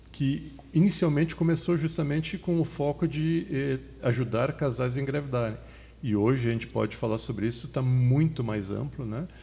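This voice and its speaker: This man speaks at a moderate pace and a medium pitch, with ordinary pitch variation. His tone is dark and mellow, and somewhat breathy. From southern Brazil, Porto Alegre. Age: 50s. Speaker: fertility doctor and medical lecturer. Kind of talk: podcast interview.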